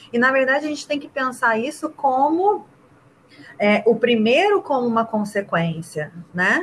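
A woman talks at a fairly slow pace. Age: 30s. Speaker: rugby player and teacher. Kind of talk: casual interview.

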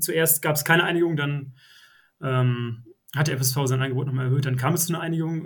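The man's voice has a somewhat breathy quality. He talks fairly quickly. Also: fairly high pitch for a man, fairly even intonation. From Oldenburg, northern Germany. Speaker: football fan guest. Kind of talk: casual podcast interview.

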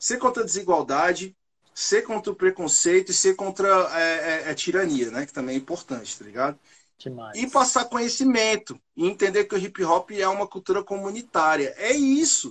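With lively intonation, a man speaks in a high pitch. His pace is moderate. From Brasília, Brazil. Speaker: rapper. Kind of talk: interview.

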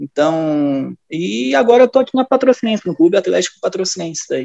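Dry and close with no echo, the recording has a man in an ordinary speaking voice, at a fairly high pitch, with lively intonation and a moderate pace. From Rio Grande do Sul, Brazil (near Novo Hamburgo). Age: 20s. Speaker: football performance analyst. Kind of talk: casual chat.

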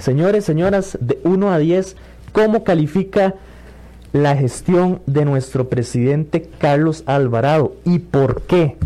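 At a very slow pace, a man speaks with fairly high pitch, lively intonation and very even loudness. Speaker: radio host. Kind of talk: radio call-in show.

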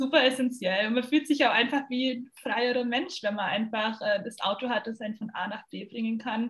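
A woman with a plain, everyday voice speaks at a fairly high pitch. Her intonation is fairly even and her pace moderate. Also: hardly any pauses. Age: 20s. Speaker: former au pair, university student. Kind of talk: casual chat.

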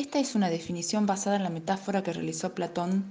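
A woman with an unremarkable speaking voice talks at a moderate pace. Her pitch sits in the medium range. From Argentina, Tucumán. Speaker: life coach. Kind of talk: scripted narration.

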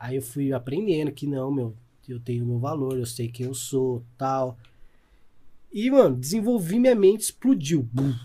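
Somewhat breathy with a dark, mellow tone, a man at medium pitch speaks at a fairly slow pace, his loudness swinging widely. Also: ordinary pitch variation. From interior of São Paulo state, Campinas region. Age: 30s. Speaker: salesman and entrepreneur. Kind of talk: casual chat.

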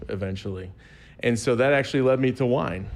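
With an American accent, a man speaks at a fairly quick pace with fairly even intonation in a plain, everyday voice. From Southern Illinois, US. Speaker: wine expert guest. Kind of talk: casual chat.

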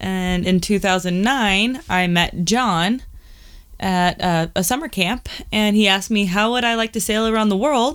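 In a very clean recording with a silent background, a woman with a Californian accent speaks with ordinary pitch variation. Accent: Californian American. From Southern California. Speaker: sailor and podcast co-host. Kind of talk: casual chat.

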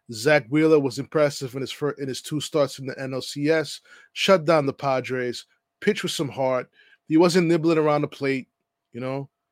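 In a normal speaking voice, a man talks at a moderate pace with a fairly high pitch and fairly even intonation, the sound dry and close with no echo. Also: very clean recording, silent background. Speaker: podcast host. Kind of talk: sports podcast monologue, casual chat. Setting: podcast recording.

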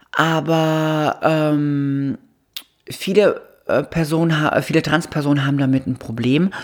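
A woman's very deep, low voice at a very slow pace, broken by long, frequent pauses. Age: 30s. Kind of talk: interview. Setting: at her home.

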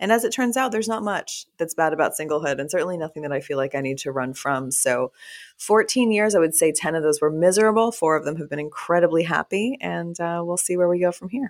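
With an American accent, a woman with a fairly low pitch races along at a very fast pace with lively intonation and hardly any pauses, in a very clean recording with a silent background. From Texas. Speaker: author and podcaster. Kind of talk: casual interview conversation.

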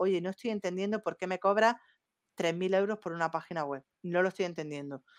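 A woman speaks with an Andalusian accent. The recording is very clean with a silent background, and the sound is dry and close with no echo. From Andalusia, Spain. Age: young. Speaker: marketing professional. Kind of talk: casual chat.

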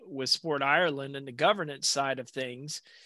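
A man with a Southern US accent speaks at a fairly high pitch and a moderate pace. His tone is bright and sharp, over a quiet background. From US South, south Alabama. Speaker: podcast host. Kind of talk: interview.

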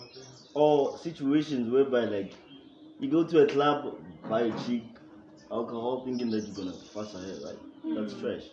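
A man talks at a medium pitch with ordinary pitch variation and long, frequent pauses. His loudness swings widely over noticeable background noise. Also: fairly quick pace. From South Africa, Limpopo. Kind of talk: group discussion.

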